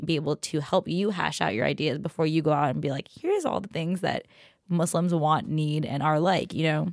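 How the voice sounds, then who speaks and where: A woman talks at a very fast pace with an American accent. Her pitch is fairly low. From Queens, New York. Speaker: tech reporter. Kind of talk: casual chat.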